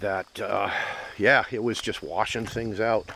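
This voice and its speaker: A man talks at a fairly slow pace in a dry, echo-free sound with light background noise. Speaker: property owner vlogger. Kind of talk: casual vlog chat. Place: forest. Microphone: phone near.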